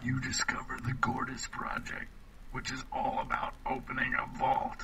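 A man is whispering. He uses a put-on character voice. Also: moderate pace. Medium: video game. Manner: skeptical, dry.

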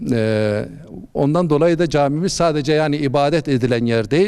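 Speaking at a moderate pace, a man uses a normal speaking voice, fairly high in pitch, with lively intonation. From Malatya, eastern Turkey. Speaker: imam. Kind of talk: interview.

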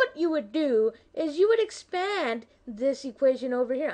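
A put-on character voice swings very widely in pitch at a moderate pace. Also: woman, high pitch for a woman. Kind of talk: explanatory, tutoring.

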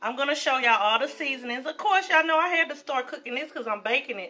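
Raised and projected, a woman's voice carries a bright, sharp tone. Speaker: home cook vlogger. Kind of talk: casual cooking vlog chat. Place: kitchen. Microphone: phone near.

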